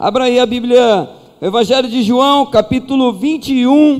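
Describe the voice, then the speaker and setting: A man at an extremely high pitch, with ordinary pitch variation and a fairly slow pace. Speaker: pastor. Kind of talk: sermon. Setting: church.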